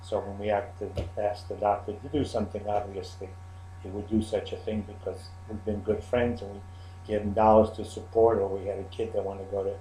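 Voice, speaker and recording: Audible room echo surrounds a man talking at a fairly quick pace in a fairly low pitch. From Czechoslovakia. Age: 70s. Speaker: Holocaust survivor. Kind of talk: interview testimony. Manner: halting.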